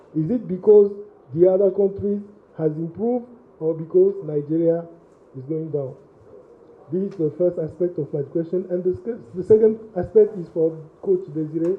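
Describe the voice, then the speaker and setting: Moderate-paced speech in a French-speaking African accent, broken by long, frequent pauses. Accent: French-speaking African, non-native English. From Togo. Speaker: sports journalist. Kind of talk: press conference question. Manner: halting.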